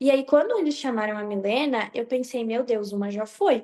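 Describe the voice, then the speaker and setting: A woman speaks at a moderate pace with a fairly high pitch. Her tone is dark and mellow, with ordinary pitch variation. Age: 20s. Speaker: beauty pageant princess. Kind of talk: interview.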